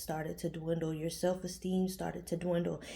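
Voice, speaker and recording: A woman speaks in a dark, mellow, somewhat breathy voice, fairly low in pitch and monotone, flat in intonation. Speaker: tarot reader. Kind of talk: tarot reading. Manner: casual, conversational.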